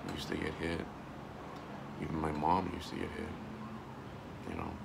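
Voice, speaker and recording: Loud background noise sits under a man speaking at a fairly slow pace with long, frequent pauses. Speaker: vlogger and army veteran. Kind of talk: personal video monologue. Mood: earnest, emotional, reflective. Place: home room. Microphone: phone near.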